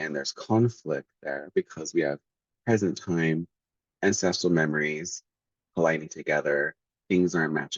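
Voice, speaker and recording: A man's very deep, low voice at a moderate pace, with ordinary pitch variation and long, frequent pauses. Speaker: astrology and tarot content creator. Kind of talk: casual tutorial monologue. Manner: hesitant, many fillers. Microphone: audio a little distorted.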